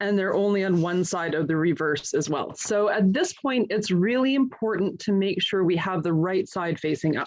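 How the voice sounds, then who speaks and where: With a Canadian accent, a woman speaks in a normal speaking voice at a medium pitch and moderate pace, showing ordinary pitch variation and very even loudness. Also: hardly any pauses. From Canada. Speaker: guide leader and scientist. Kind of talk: tutorial. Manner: clear, step-by-step instructional.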